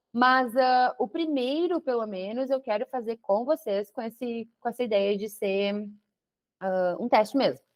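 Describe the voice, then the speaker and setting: A woman talks fairly slowly in a fairly high voice, her pitch shifting in a typical way. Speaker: web project manager. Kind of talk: online talk. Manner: animated.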